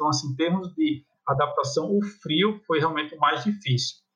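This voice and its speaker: Speaking with a northeastern Brazilian accent, a man has a bright, sharp tone at a fairly high pitch. His pace is fairly quick. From Brazil, Paraíba. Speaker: psychology professor. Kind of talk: casual chat.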